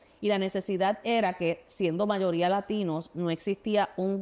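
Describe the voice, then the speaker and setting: A woman with a Puerto Rican accent at a medium pitch, moderate pace and fairly even intonation, on a very clean recording with a silent background. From Puerto Rico. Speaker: state legislator and former teacher. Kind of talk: interview. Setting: studio. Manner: halting, many fillers and restarts.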